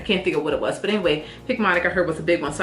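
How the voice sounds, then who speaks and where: Talking at a very fast pace, a woman with a fairly low pitch is heard amid noticeable background noise and audible room echo. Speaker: nurse practitioner student vlogger. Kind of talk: casual vlog update.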